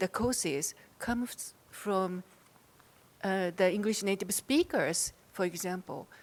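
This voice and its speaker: A woman's fairly slow speech in a Japanese accent. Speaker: audience member asking question. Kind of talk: audience question at conference.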